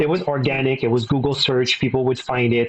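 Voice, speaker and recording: A man talks in a French Canadian accent. His pace is fairly quick and his intonation monotone and flat. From Quebec (Verdun, Montreal). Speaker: business executive. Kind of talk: interview.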